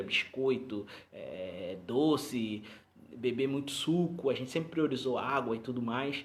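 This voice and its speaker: Audible room echo surrounds a man's voice. His pitch is medium, with ordinary variation. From Rio de Janeiro, Brazil. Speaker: pastor. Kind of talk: live stream talk to congregation. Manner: halting, many repetitions.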